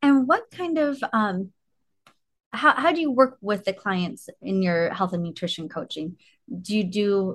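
Speaking at a fairly slow pace, a woman with a medium-pitched, somewhat breathy voice uses lively intonation against a quiet background. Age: 40s. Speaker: podcast host, orthodontist. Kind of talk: interview; guided self-care exercise.

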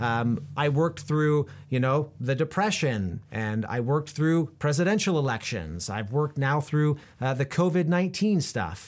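A man with a plain, everyday voice speaks in an American accent at a moderate pace, his pitch fairly high and his intonation lively. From Central Oregon, US. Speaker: podcast host interviewing business owners. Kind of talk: solo podcast monologue. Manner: frequent fillers and word repetitions.

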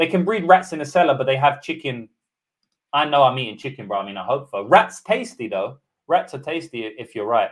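With a British accent, a man speaks fairly quickly in a fairly high pitch, his voice making very wide pitch swings and big swings in loudness. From UK. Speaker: MMA betting tipster. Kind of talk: live stream betting breakdown. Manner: animated.

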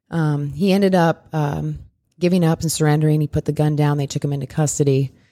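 A woman with a Midwestern American accent, very deep and low in pitch, dark and mellow in tone, at a very fast pace with monotone, flat intonation, in a dry, close sound with no echo. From US Midwest. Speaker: firearms instructor. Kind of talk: casual interview.

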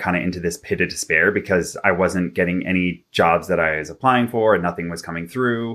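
In a very clean recording with a silent background, a man with a Canadian accent speaks fairly quickly in a very deep, low pitch, his tone bright and sharp and his pitch variation ordinary. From Vancouver, Canada. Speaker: relationship and personal development coach. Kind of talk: interview.

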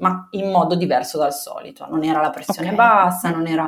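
In a plain, everyday voice, a woman with a fairly low pitch talks at a moderate speed. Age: 30s. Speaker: mother telling her birth story. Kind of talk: personal testimony in interview.

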